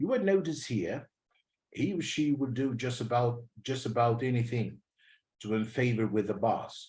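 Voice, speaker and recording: Speaking with a British accent, a man uses a somewhat breathy, medium-pitched voice with ordinary pitch variation. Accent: British-leaning English. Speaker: English teacher. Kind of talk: lecture. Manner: repetitive, slow and deliberate.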